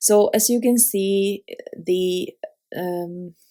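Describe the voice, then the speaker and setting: A woman speaks with a non-native accent at a medium pitch. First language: not English. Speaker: card-making crafter. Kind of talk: tutorial. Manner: halting, many fillers.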